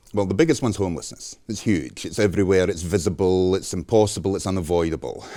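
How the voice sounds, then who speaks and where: The voice moves at a very fast pace, with ordinary pitch variation. The recording is very clean and the background is silent. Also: man, very deep, low pitch for a man. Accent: Scottish. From Scotland. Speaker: journalist. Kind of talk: interview.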